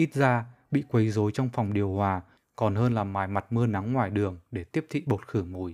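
A man with fairly low pitch and ordinary pitch variation speaks at a moderate pace in an ordinary speaking voice. The recording is very clean, with a silent background. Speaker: author reading own short story. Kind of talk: reading aloud.

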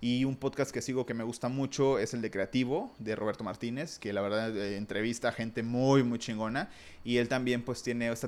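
A man with an ordinary speaking voice talks at a fairly quick pace, at medium pitch with ordinary pitch variation. The recording is very clean and the background silent. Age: 30s. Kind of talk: casual monologue.

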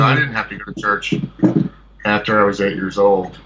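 Against noticeable background noise, a man speaks at a very fast pace. His pitch is fairly low, and his intonation is lively. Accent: American. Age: 40s. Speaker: musician and filmmaker. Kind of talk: casual phone interview.

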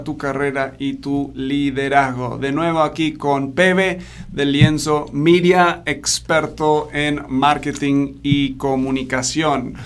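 A speaker with an American accent talks over noticeable background noise. The intonation stays fairly even. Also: man. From Argentina. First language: English (speaking Spanish). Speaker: podcast host, leadership coach. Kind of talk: interview podcast.

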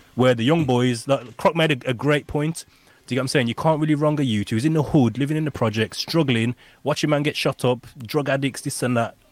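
Delivered at a very fast pace with fairly even intonation, this voice has a British accent. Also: man, medium pitch for a man. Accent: British urban. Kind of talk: casual chat.

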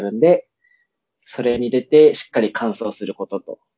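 A man's plain, everyday voice at medium pitch and a moderate pace. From Itabashi, Tokyo. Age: 20s. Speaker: podcast co-host. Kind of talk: casual chat.

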